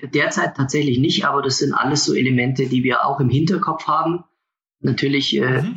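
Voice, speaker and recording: An unremarkable speaking voice moves at a fairly quick pace, with very even loudness and fairly even intonation. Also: man, fairly high pitch for a man. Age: 20s. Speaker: product designer for a motorhome maker. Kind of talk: interview. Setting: video call.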